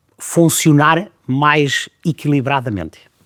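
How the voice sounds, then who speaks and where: A man's pitch sits fairly high and varies in an ordinary way. The sound is dry and close, free of echo. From Trás-os-Montes, northern Portugal. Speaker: chef and restaurant director. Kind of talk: interview answer. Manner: direct.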